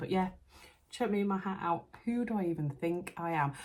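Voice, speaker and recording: Soft-spoken and somewhat breathy, a woman with a Yorkshire accent sounds animated, with ordinary pitch variation. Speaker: sewing vlogger. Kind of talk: casual vlog. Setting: friend's house at night. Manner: chatty, animated; soft-spoken, quiet.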